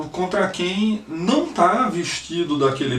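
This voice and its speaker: This man's lively intonation carries over noticeable background noise and audible room echo. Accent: Pernambuco. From Brazil, Northeast (Recife, Pernambuco). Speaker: lawyer, political activist. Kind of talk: personal testimony, video message. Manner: halting, many fillers and repetitions.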